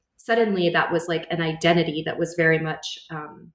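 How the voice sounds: A woman with a fairly low pitch speaks at a fairly quick pace amid audible room echo.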